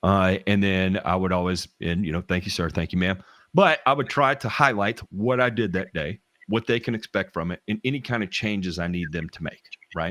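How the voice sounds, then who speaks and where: Someone with a Southern US accent speaks at a fairly quick pace with ordinary pitch variation. The sound is dry and close with no echo, in a very clean recording with a silent background. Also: man, fairly low pitch for a man. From US South. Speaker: lawn care professional. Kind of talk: casual chat. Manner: halting, many restarts.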